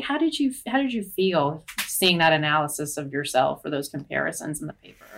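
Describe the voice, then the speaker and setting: A woman, somewhat breathy, with very wide pitch swings and a fairly quick pace. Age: 20s. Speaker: political reporter. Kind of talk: interview.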